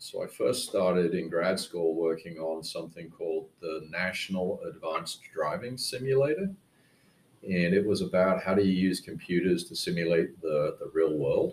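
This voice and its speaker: Man with an English accent, at a moderate pace. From England. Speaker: technology company president. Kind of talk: interview.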